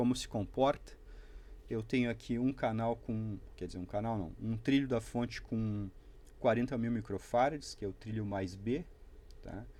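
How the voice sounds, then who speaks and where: Leaving long, frequent pauses, a man speaks in a dark, mellow tone with fairly even intonation. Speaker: electronics hobbyist youtuber. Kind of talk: tutorial.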